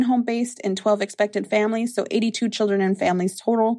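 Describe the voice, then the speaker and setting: Speaking with an American accent, a woman has a fairly high pitch and a dark, mellow tone. Her pitch variation is ordinary. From US Midwest, Lower Sioux community, southwest Minnesota. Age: 20s. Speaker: early childhood program director. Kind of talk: interview.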